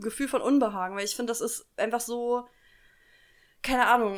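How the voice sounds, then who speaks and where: A woman speaks with a high pitch and fairly even intonation in a very clean recording with a silent background. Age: 20s. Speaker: podcast co-host. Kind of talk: casual chat. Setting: home kitchen.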